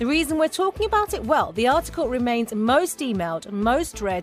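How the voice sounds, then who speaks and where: A woman's fairly high voice at a moderate pace, with very wide pitch swings and music in the background. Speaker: radio news presenter. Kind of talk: radio programme introduction and news presenting.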